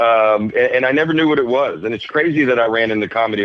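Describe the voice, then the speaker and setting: In a Southern US accent, a man speaks at medium pitch with ordinary pitch variation. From Alabama, USA. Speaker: stand-up comedian. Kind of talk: podcast interview answer. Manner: casual, hesitant.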